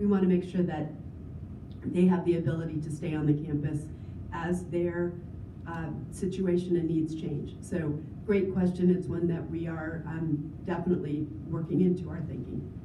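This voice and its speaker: A woman speaks at a moderate pace and a fairly low pitch, with monotone, flat intonation and long, frequent pauses. Noticeable background noise sits behind her. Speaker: government program executive director. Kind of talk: formal presentation and Q&A answers.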